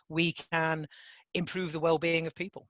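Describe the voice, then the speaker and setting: The speaker has a northern English accent and keeps a fairly slow pace. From northern England, mining communities. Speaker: conference speaker, impact measurement organization staff. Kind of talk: conference presentation. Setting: online conference call. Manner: hesitant fillers, frequent um.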